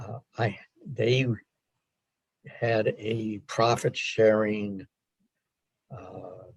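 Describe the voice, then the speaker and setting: A man with a medium pitch talks at a very slow pace, leaving long, frequent pauses. His voice is somewhat breathy, with fairly even intonation. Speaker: retired engineer and scrap yard worker. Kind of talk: oral history interview. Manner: halting, many repeated words.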